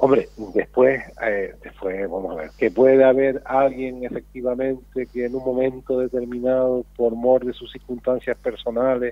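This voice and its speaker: Over noticeable background noise, a man at medium pitch speaks fairly slowly with fairly even intonation and big swings in loudness. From Canary Islands. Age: 60s. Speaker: senator. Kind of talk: radio interview.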